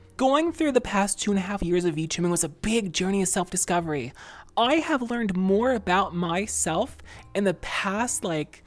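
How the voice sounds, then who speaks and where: Against a silent background in a very clean recording, a woman speaks with a normal speaking voice at a medium pitch. Her intonation is lively and her pace moderate. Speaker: virtual streamer, ASMR creator. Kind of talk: casual talk to camera, livestream Q&A.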